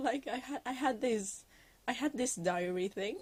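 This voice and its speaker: A woman with a Norwegian accent talks at a fairly slow pace, her intonation lively. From Norway. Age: 19. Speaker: digital artist. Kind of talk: voiceover chat. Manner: halting, many filler words.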